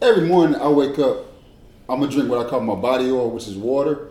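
The speech moves at a fairly quick pace with ordinary pitch variation. Audible room echo and noticeable background noise fill the recording. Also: man. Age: 30s. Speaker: former college athlete. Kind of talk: casual chat.

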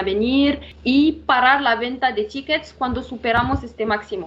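With noticeable background noise present, a female speaker uses a high pitch and ordinary pitch variation. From Morocco. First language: not Spanish (Moroccan, studied in France) (speaking Spanish). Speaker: revenue management analyst. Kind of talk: interview. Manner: halting, many fillers.

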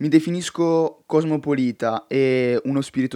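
Heard dry and close with no echo over a quiet background, a man speaks with fairly even intonation. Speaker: podcaster. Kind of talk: monologue podcast. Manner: direct.

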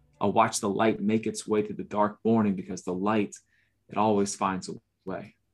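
Very clean recording of a man with an American accent, silent background, fairly low pitch, monotone, flat intonation and a moderate pace. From US South, Orlando, Florida. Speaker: poet and author. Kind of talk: poetry reading; casual chat.

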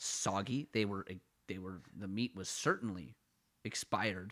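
In a very clean recording with a silent background, a man speaks with an Ottawa accent and a bright, sharp tone. His loudness swings widely while his pitch varies in an ordinary way. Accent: Canadian, Ottawa-area. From Ottawa, Canada. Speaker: podcast co-host. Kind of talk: casual comedic banter. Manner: self-deprecating, rambling, joking.

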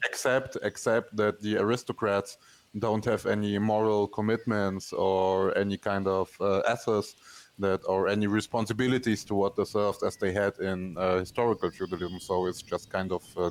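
A man with a non-native accent and a fairly low pitch speaks in a monotone, flat intonation at a moderate pace and very even loudness. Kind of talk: podcast conversation. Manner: hesitant, many fillers.

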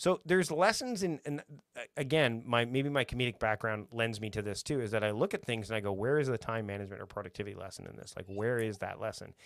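On a very clean recording with a silent background, a man with a Canadian accent races along at a very fast pace with hardly any pauses, medium in pitch, lively in intonation and with big swings in loudness. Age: 40s. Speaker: productivity coach and podcaster. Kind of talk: casual chat. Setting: live video stream.

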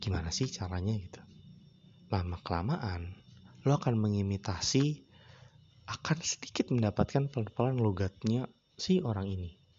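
A man with a fairly low, somewhat breathy voice speaks at a moderate pace. His intonation is lively, broken by long, frequent pauses. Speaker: podcast host. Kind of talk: casual solo monologue. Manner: rambling, frequent fillers.

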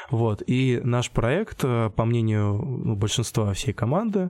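A dark, mellow tone marks a man's medium-pitched voice. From Russia, Tambov region (Michurinsk). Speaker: street artist. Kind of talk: interview. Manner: halting.

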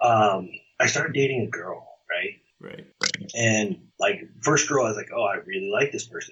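This man speaks at a moderate pace, his loudness swinging widely. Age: 20s. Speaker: entrepreneur and business coach. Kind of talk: interview. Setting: office building. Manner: halting.

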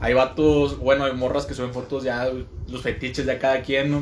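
A man talks at a medium pitch. Background noise is noticeable. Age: 20s. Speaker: podcast co-host. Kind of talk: casual chat.

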